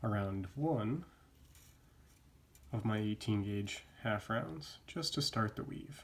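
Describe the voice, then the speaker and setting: A man speaks at a very slow pace with long, frequent pauses, his fairly low voice somewhat breathy and his intonation lively. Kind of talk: craft tutorial narration.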